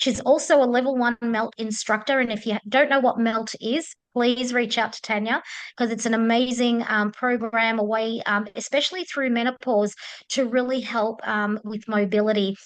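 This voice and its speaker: A woman with an Australian accent, fairly high pitch, fairly even intonation and moderate pace over a quiet background. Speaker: menopause coach. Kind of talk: webinar introduction. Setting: video call. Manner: hesitant, many filler ums.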